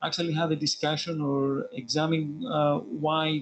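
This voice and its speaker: Over music in the background, a man with a fairly high voice speaks at a fairly slow pace with ordinary pitch variation. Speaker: researcher. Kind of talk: audience question. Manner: hesitant, many fillers.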